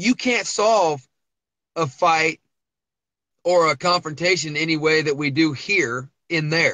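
This man has a fairly high pitch, an American accent and ordinary pitch variation. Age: 30s. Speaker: reality TV contestant, cowboy and auctioneer. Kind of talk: interview. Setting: phone call from parked pickup truck. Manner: halting, repeating words.

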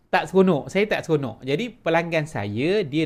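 The speaker uses a Malaysian accent and a moderate pace on a very clean recording with a silent background. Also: man. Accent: Malaysian Malay. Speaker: online business coach. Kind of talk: sales pitch. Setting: home office.

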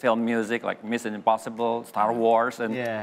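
With faint music in the background, a man talks at a fairly slow pace. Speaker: talk show guest. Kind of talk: interview answer. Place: studio. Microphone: lapel.

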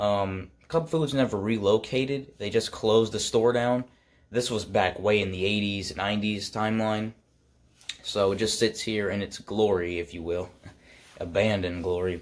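A man speaks at a moderate pace in a plain, everyday voice. His pitch is fairly low, with ordinary pitch variation. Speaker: urban exploration vlogger. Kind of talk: casual vlog chat. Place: home room. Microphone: phone near.

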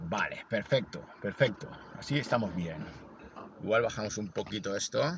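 A man talks at a moderate pace with lively intonation and a fairly low pitch. Noticeable background noise runs under his voice. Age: 40s. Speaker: amateur runner and video blogger. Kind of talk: vlog narration.

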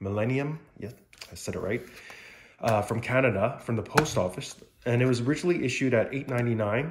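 The voice moves with ordinary pitch variation over light background noise. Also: man. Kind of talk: casual show-and-tell commentary. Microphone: phone near.

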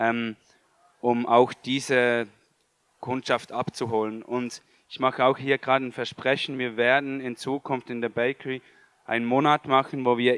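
With a Swiss German accent, a man speaks at a fairly slow pace in a monotone, flat intonation, the sound dry with no echo and the background quiet. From Switzerland. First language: Swiss German (speaking German). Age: 20s. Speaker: vegan food entrepreneur, former chef; panelist. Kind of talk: panel discussion. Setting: stage with audience. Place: hall. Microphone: handheld.

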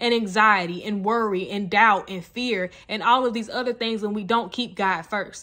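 A woman's bright, sharp tone against a quiet background. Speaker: college student. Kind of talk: casual talk to camera. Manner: passionate, loud at times. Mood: warm, earnest, smiling. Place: home room. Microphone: phone near.

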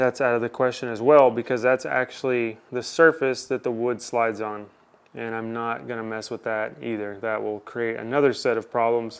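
The voice belongs to a man. He keeps a moderate tempo. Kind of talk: tutorial. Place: garage.

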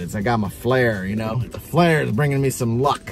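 Faint music sits in the background as a man talks at a fairly quick pace, the sound dry with no echo. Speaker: collector vlogger. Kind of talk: casual vlog chat. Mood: cheerful, pleased with finds. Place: car. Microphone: phone near.

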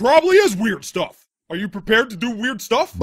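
A man performs a put-on character voice, pitched high. He moves at a fairly quick pace. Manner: indignant, ranting.

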